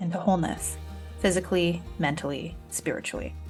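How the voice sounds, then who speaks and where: Background music accompanies a woman as she talks. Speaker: podcast host. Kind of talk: podcast intro.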